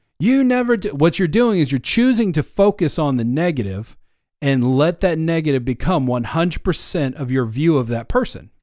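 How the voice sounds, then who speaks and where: The recording is very clean, with a silent background. A man speaks at a fairly high pitch with very wide pitch swings. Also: moderate pace. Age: 30s. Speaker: podcast host. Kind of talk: casual chat.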